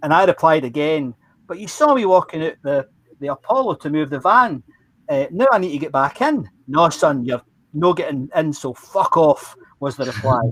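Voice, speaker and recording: A man in a Glaswegian accent talks at a moderate pace with lively intonation and a fairly high voice. The sound is dry and close, with no echo. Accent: Glaswegian Scottish. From Scotland, Glasgow. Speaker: former roadie recounting memories. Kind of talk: storytelling.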